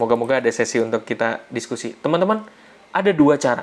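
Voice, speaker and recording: Speech moves at a moderate speed while noticeable noise sits in the background. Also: man. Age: 30s. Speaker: financial literacy educator. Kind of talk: online seminar talk. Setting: live online session with chat. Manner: casual, conversational.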